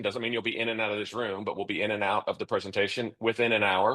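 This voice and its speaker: Bright and sharp in tone, a man's voice keeps fairly even intonation over a quiet background. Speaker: financial advisor. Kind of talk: interview. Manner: fast; high energy.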